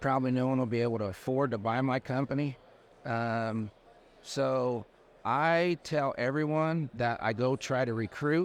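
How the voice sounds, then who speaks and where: A man's normal speaking voice with an American accent, medium pitch, ordinary pitch variation, very even loudness, a moderate pace and a quiet background. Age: 60s. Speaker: landscaping business owner. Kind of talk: casual interview chat. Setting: trade show floor.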